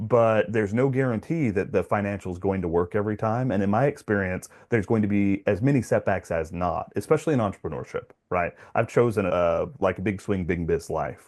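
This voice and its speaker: Against a quiet background, a man talks in a plain, everyday voice at a fairly low pitch. He moves at a fairly quick pace with hardly any pauses and ordinary pitch variation. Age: 40s. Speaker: podcast host and real estate investor. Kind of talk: casual interview conversation.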